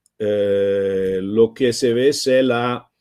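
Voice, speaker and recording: A man with an Italian accent, a dark, mellow tone and fairly even intonation. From Italy. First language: Italian (speaking Spanish). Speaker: open-source foundation co-founder, speaker. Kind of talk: online talk presentation. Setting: live stream. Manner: halting, many hesitations.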